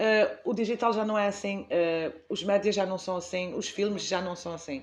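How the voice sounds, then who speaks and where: This woman has an unremarkable speaking voice at medium pitch. Her intonation is fairly even and her pace moderate. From Azores, Portugal. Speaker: library director, former teacher. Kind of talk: interview answer.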